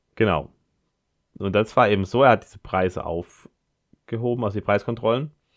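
A man with a fairly low pitch talks at a fairly quick pace with ordinary pitch variation. The background is quiet. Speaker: podcast host. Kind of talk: solo podcast monologue. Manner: halting, many filler sounds.

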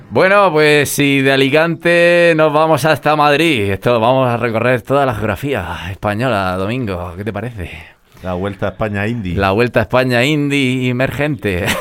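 Here a man in a normal speaking voice, at a medium pitch and a moderate pace, speaks with lively intonation. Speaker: radio host. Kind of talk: radio interview.

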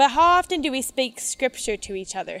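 This woman has a Midwestern American accent. Her voice is high-pitched. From Michigan, US. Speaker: teacher and outdoor educator. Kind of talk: seminar talk at camp meeting. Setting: meeting hall with audience.

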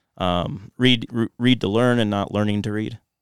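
A man at a fairly slow pace with monotone, flat intonation. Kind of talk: casual podcast chat.

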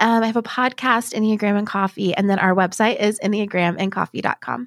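A normal speaking voice goes at a fairly quick pace. The sound is dry and close with no echo, on a very clean recording with a silent background. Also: woman. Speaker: Enneagram teacher and author. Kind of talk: podcast interview. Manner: kind, warm.

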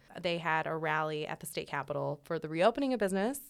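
With ordinary pitch variation, an unremarkable speaking voice talks rather quickly in a very clean recording where the background is silent. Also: woman. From Illinois, Chicago suburbs. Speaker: news podcast co-host. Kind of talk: casual news chat.

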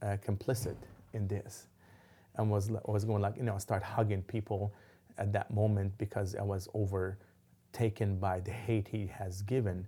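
A man's somewhat breathy voice has a dark, mellow tone and monotone, flat intonation at a moderate pace. The recording is very clean, with a silent background. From Lebanon. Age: 50s. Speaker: imam. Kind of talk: interview. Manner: halting, many fillers.

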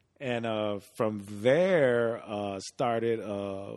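A man's voice at medium pitch, with ordinary pitch variation. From US Midwest, Chicago South Side. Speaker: retired police officer. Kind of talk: casual chat.

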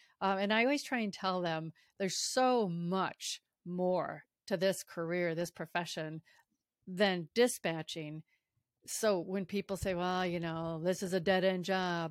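In a very clean recording that sounds dry and close with no echo, a woman with an ordinary speaking voice talks fairly slowly at a medium pitch, her pitch moving in an ordinary way. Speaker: podcast host and public safety dispatcher. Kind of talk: interview, conversational.

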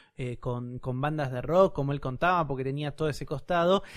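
A man with a Rioplatense accent talks at a very fast pace and a fairly high pitch. His intonation stays fairly even in a very clean recording with a silent background. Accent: Argentine Spanish (rioplatense). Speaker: podcast co-host. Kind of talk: casual chat.

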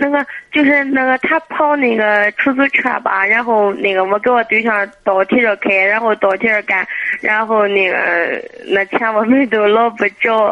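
A woman speaks at a moderate pace in a fairly high pitch. Her pitch varies in an ordinary way, and her loudness stays very even. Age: 20s. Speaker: caller. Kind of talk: phone-in advice call. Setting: phone call. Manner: halting.

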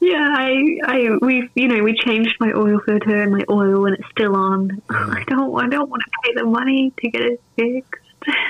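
Over noticeable background noise, a woman with a fairly high pitch speaks with hardly any pauses. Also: ordinary pitch variation, moderate pace. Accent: Australian. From Adelaide, South Australia. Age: 20s. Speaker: Twitch streamer. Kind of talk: casual interview chat. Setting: video call.

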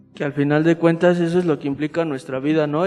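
A man talks in a central Mexican accent over noticeable background noise. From central Mexico, State of Mexico. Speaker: Salesian religious aspirant. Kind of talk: casual interview.

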